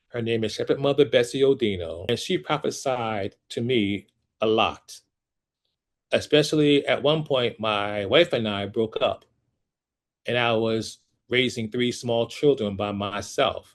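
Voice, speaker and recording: Against a quiet background, a man with an American accent and an unremarkable speaking voice talks at a fairly slow pace with ordinary pitch variation. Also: medium pitch for a man. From US Northeast, Trenton, New Jersey. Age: 60s. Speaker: opera singer and vocal coach. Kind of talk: testimony.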